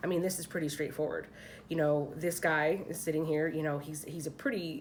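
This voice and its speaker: A woman with a very deep, low pitch and an American accent, at a fairly quick pace with monotone, flat intonation, in audible room echo. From Philadelphia, US. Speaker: tarot card reader. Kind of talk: tarot reading. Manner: casual, chatty.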